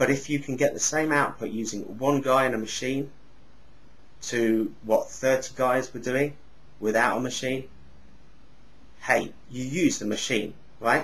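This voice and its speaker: Pausing long and often, a man speaks at a fairly slow pace with medium pitch and fairly even intonation. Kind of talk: casual talk to camera. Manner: sounds angry but is not.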